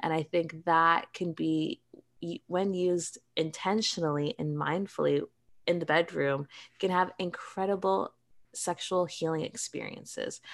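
A woman talks in a normal speaking voice at a fairly slow pace. Her pitch is fairly low, with ordinary pitch variation. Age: 30s. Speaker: cannabis and sex-wellness entrepreneur. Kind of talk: interview.

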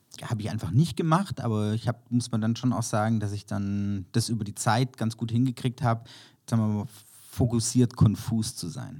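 A man with a medium-pitched, dark, mellow voice talks at a moderate pace with ordinary pitch variation. The recording is very clean, with a silent background. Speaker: creative director and copywriter. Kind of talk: casual interview.

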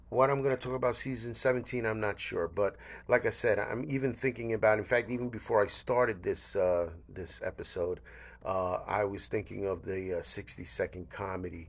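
The voice has ordinary pitch variation and moves at a fairly quick pace. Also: man, medium pitch for a man, very clean recording, silent background. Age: 60s. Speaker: podcast host. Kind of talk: casual solo monologue. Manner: halting, many fillers.

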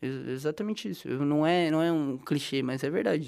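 A man with a dark, mellow tone talks at a fairly quick pace in a very clean recording with a silent background. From interior of São Paulo state, Brazil. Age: 20s. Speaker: journalism student. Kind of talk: casual interview.

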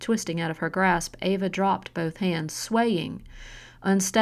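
The text is read aloud in a natural voice. Its pitch varies in an ordinary way.

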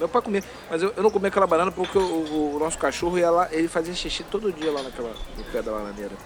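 Through noticeable background noise, a high-pitched man speaks very fast with lively intonation. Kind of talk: casual chat. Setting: at home. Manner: halting, repeats words.

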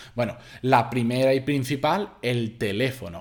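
Recorded very cleanly, this clip of a man has a completely silent background. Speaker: podcast host. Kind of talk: solo podcast monologue.

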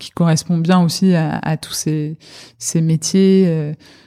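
A woman speaks in a very deep, low voice at a very slow pace. The sound is dry and close with no echo. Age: 40s. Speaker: private equity partner. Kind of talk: interview. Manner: halting, many repetitions and fillers.

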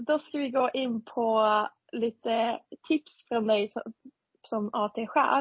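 A woman with a non-native accent speaks at a very slow pace and a fairly high pitch, her intonation fairly even, with long, frequent pauses. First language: not Swedish (speaking Swedish). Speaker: podcast co-host, junior doctor. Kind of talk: casual chat.

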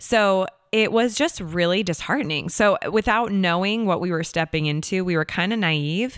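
A woman with an American accent speaks at a moderate pace with a medium pitch and ordinary pitch variation, with hardly any pauses. Hers is an unremarkable speaking voice. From Seattle, Washington, US. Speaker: actor and singer-songwriter. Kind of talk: casual interview chat.

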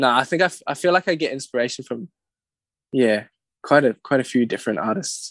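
A man at medium pitch talks at a fairly quick pace with lively intonation and long, frequent pauses, in a dry, close sound with no echo over a quiet background. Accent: New Zealand. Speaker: singer-songwriter. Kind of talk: casual chat.

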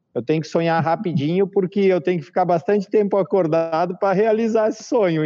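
Against a quiet background, a man with high pitch and a dark, mellow tone speaks with ordinary pitch variation. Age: 40s. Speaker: organic farmer. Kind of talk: casual interview on a live stream.

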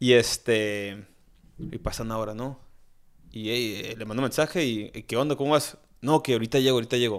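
Here a man with an unremarkable speaking voice talks at a fairly quick pace with ordinary pitch variation. His loudness swings widely, on a very clean recording with a silent background. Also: medium pitch for a man. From Tijuana, Mexico. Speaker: chef and restaurant owner. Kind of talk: casual chat.

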